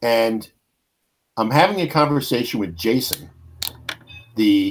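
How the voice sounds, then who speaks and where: A man with a New York accent, medium pitch and lively intonation, at a fairly slow pace. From New York, Brooklyn. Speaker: podcast host. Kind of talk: casual chat. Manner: animated storytelling.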